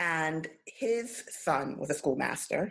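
A woman's fairly low-pitched voice with a New York accent. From Brooklyn, New York. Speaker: finance attorney. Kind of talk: casual chat.

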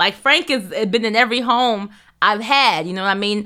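The voice is raised and projected, with a bright, sharp tone. Its delivery is animated and moderately paced. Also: woman. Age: 30s. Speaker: podcast co-host and culture writer. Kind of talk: casual chat.

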